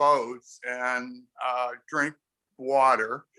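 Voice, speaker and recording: The man's tone is bright and sharp, and he talks in an American accent. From US Midwest, Chicago. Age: 60s. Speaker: sailor. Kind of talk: casual chat. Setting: video call.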